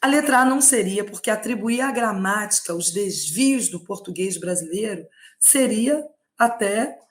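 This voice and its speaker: Somewhat breathy and fairly high-pitched, a woman speaks at a fairly slow pace with lively intonation. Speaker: Portuguese language teacher. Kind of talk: online lecture, exam prep live stream. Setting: live stream.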